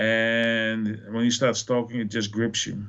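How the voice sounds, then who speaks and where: A man of medium pitch with a Dutch accent at a fairly slow pace. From Netherlands. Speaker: film fan podcast guest. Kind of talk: casual chat.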